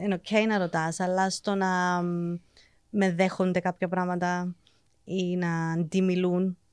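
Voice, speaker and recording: In an English accent, a woman speaks at medium pitch and a fairly slow pace with monotone, flat intonation, in a very clean recording with a silent background and a dry, close sound with no echo. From England. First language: English (speaking Greek). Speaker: teacher. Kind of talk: casual chat.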